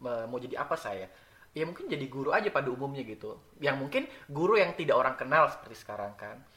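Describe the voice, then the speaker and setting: Very fast talking from a man, his loudness swinging widely up and down. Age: 20s. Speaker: podcast guest. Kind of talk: casual interview.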